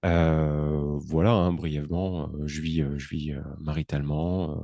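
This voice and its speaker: A man's very deep, low pitch and dark, mellow tone, very slow and flat in monotone intonation. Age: 30s. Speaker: entrepreneur and podcaster. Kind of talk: interview. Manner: halting, many hesitations.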